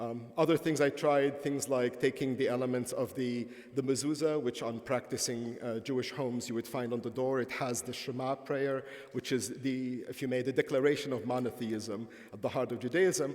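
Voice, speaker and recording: With an Arabic accent, a man speaks at a medium pitch and a moderate pace. His intonation is fairly even. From Palestine. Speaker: professor. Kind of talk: lecture. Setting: conference stage with audience.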